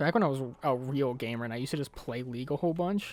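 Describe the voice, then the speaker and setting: Very fast pace and ordinary pitch variation, with music in the background. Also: man. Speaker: gaming youtuber. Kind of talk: casual gameplay commentary. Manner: halting, repeats words.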